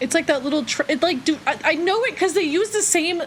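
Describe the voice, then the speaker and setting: Over noticeable background noise, a woman talks in an animated tone with an American accent. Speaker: streamer. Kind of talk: casual chat.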